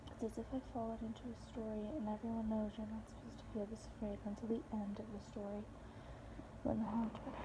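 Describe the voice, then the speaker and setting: A woman races along at a very fast pace while noticeable background noise continues. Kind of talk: book excerpt reading.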